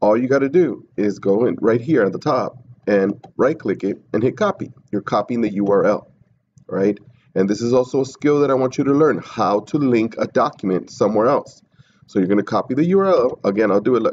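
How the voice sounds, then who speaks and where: A man's medium-pitched voice, fairly quick and lively in intonation, at a very even loudness. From US, Mexican immigrant family. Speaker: teacher. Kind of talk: tutorial. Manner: casual, conversational.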